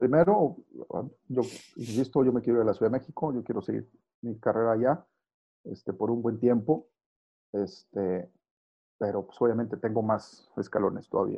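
Long, frequent pauses break up a moderate pace, with pitch varying in an ordinary way. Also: man, medium pitch for a man. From northern Mexico, Saltillo. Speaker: sports journalist. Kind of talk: interview.

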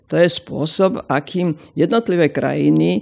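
The woman speaks at a fairly slow pace. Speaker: sociologist. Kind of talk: interview.

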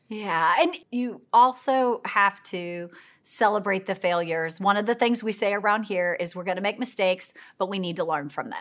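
In a very clean recording with a silent background, a woman with a Midwestern American accent speaks at a moderate pace and medium pitch, with ordinary pitch variation. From US Midwest, mid-Missouri. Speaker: nonprofit executive, former educator. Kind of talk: casual interview. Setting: in person, filmed live.

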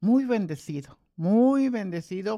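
A very slow, dark, mellow voice with lively intonation, in a very clean recording with a silent background. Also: woman. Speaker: retired pastor and grandmother. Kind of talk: testimony. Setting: at home over coffee.

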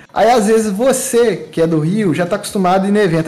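A man with a high pitch, ordinary pitch variation and a fairly quick pace, in audible room echo. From Brazil, Minas Gerais (Muriaé). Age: 30s. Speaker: event organizer and photographer. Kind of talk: casual chat.

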